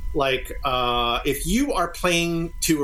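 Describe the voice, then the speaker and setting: A man speaks over noticeable background noise. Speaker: experimental music group member, guest. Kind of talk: casual interview chat. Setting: video call.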